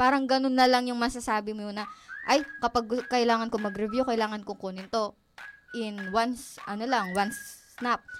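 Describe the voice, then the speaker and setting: This woman has a high-pitched voice with ordinary pitch variation. She speaks at a moderate pace. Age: young. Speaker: college student, student organization president. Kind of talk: radio interview.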